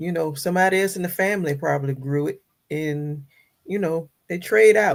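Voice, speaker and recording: At a fairly quick pace, a woman with an ordinary speaking voice talks fairly low, with ordinary pitch variation. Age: 50s. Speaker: home gardener. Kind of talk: casual chat.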